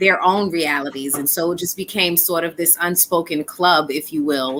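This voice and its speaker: A woman speaks at a moderate pace with fairly even intonation and a fairly low pitch. Noticeable background noise sits behind her. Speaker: spoken word artist. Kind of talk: interview answer.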